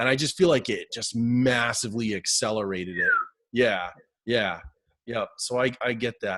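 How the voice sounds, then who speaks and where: Here a man speaks with a New Hampshire accent at a medium pitch. His pace is moderate and his pitch variation ordinary. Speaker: hypnotist, interviewer. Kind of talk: interview.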